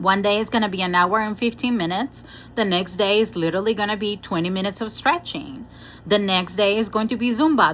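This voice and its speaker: In a Spanish accent, the speaker moves at a fairly quick pace with ordinary pitch variation. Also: woman. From Venezuela. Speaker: spiritual coach and Reiki master. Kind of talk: motivational talk with oracle card reading. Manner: animated, repetitive emphasis.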